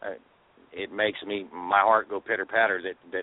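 Talking in a Southern US accent, this man keeps a moderate pace. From Arkansas and Texas. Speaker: truck driver, healthy cooking page organizer. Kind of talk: call-in radio discussion.

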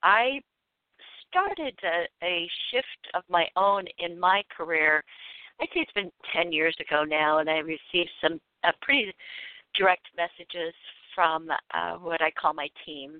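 The speaker uses ordinary pitch variation and leaves long, frequent pauses. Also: woman, fairly low pitch for a woman, fairly slow pace. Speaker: intuitive coach and author. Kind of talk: radio interview and caller readings. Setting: phone call. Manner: animated, laughs often.

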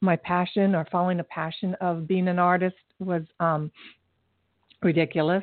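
Her pitch fairly low for a woman, a woman speaks at a moderate pace with fairly even intonation.

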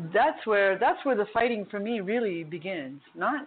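A woman's ordinary speaking voice at medium pitch, with lively intonation and a moderate pace. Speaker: martial arts instructor and massage therapist. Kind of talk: casual chat. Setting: phone call.

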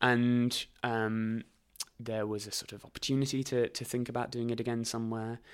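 In a southern English accent, a man speaks at a medium pitch and moderate pace with monotone, flat intonation. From southern England, Reading and High Wycombe area. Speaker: actor, writer and theatre company founder. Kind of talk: casual interview chat.

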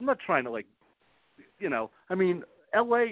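A man speaks with an American accent. His pitch swings very widely at a moderate pace. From New York. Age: 50s. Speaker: author. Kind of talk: interview. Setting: phone call.

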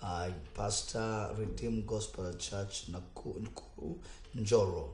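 A man talks at a fairly slow pace, with audible echo from the room. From Kenya. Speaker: pastor. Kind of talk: radio talk show with preaching. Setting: studio.

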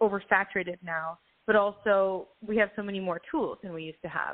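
A woman talks at a fairly quick pace and medium pitch. She has an ordinary speaking voice. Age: 30s. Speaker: singer-songwriter. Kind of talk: casual interview chat. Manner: upbeat.

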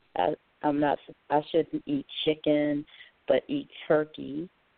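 Very slow and very deep, a woman speaks with an American accent. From North Carolina. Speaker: caller. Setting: phone call.

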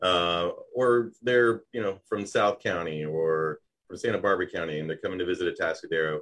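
A man talks at a fairly quick pace. His very deep, low voice has ordinary pitch variation. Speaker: business show host. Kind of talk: live interview show. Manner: loud.

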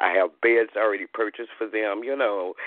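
A man's fairly low-pitched, fairly quick delivery, a plain, everyday voice with ordinary pitch variation. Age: 50s. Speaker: caller, grandmother. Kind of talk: personal testimony. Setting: phone call.

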